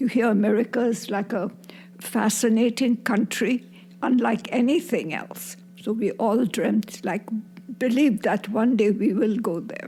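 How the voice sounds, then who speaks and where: Somewhat breathy, a woman speaks in a dark, mellow tone at a fairly slow pace with ordinary pitch variation. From Burma. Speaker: grandmother, war refugee. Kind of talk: interview.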